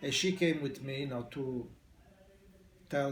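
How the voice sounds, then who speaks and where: Audible room echo around a man with an Italian accent, medium pitch, moderate pace. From Italy. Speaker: immigrant barber. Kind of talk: oral history interview. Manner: halting.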